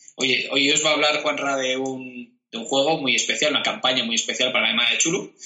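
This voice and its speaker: A man with fairly high pitch speaks in a monotone, flat intonation at a fairly quick pace, with hardly any pauses. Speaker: tabletop roleplaying podcast co-host. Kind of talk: casual chat. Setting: video recording.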